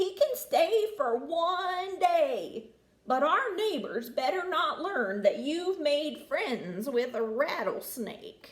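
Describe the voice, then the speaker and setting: In a put-on character voice, a woman speaks at an extremely high pitch and a very slow pace, with very wide pitch swings. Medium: read story.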